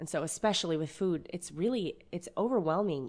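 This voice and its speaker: With an unremarkable speaking voice, a woman talks at a fairly quick pace in a fairly low pitch, her intonation lively against a quiet background. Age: 30s. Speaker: butcher. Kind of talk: casual chat.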